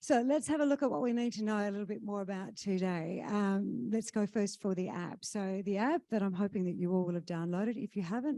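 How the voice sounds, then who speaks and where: Against a quiet background, a woman with an Australian accent talks at a fairly quick pace and medium pitch. Her tone is dark and mellow, and her intonation is lively. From Western Australia, Kalgoorlie. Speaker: conference emcee. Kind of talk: event hosting announcements. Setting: stage with audience at conference.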